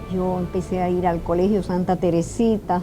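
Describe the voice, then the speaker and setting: Amid noticeable background noise, a woman at a medium pitch speaks very slowly in a monotone, flat delivery. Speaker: interviewee. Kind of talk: testimony.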